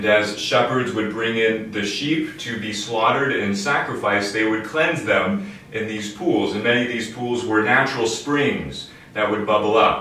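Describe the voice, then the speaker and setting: There is audible room echo and light background noise. A man talks at a moderate pace with ordinary pitch variation. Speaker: priest. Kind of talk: sermon. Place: home room. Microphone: camera far.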